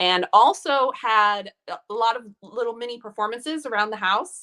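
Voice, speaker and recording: This voice has a bright, sharp tone and ordinary pitch variation, spoken with a Wisconsin accent. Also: woman. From Milwaukee, Wisconsin. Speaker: actress. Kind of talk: casual interview chat.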